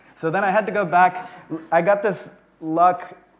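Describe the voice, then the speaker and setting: There is audible room echo and noticeable background noise as a man with an American accent talks at a moderate pace. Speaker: tech company founder and CEO. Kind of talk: conference talk. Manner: casual, many filler words.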